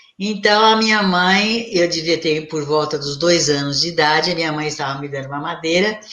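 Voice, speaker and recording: A woman speaks at a moderate pace with a fairly low pitch and ordinary pitch variation. She leaves hardly any pauses, and there is noticeable background noise. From Brazil, São Paulo city. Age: 70s. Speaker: spiritist medium and psychologist. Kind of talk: interview.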